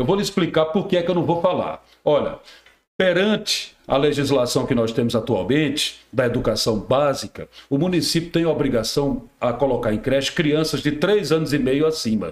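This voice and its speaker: At a moderate pace and very even loudness, a man with a fairly high pitch speaks with lively intonation. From Rio Grande do Norte, Brazil. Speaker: radio and TV journalist. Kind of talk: casual chat.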